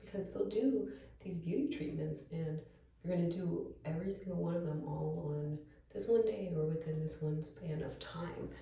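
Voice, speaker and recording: Amid audible room echo and noticeable background noise, a woman speaks in a calm tone at a very deep, low pitch. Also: ordinary pitch variation, moderate pace. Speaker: lifestyle vlogger. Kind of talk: casual chat. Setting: at home, bathroom. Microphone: echo in the room.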